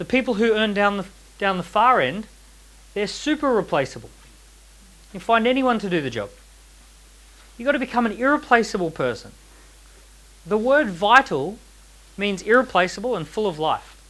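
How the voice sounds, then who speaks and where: A man talks in a high voice with an animated tone and lively intonation. His pace is moderate, broken by long, frequent pauses. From Australia. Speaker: entrepreneur and author giving a talk. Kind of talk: seminar talk to a live audience. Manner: animated, uses rhetorical questions.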